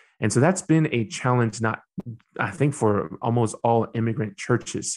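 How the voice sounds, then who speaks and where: A man with a medium pitch speaks over a quiet background. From Myanmar, then US from age 11. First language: Burmese. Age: 30s. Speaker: youth pastor. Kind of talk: interview conversation. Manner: halting, many fillers and restarts.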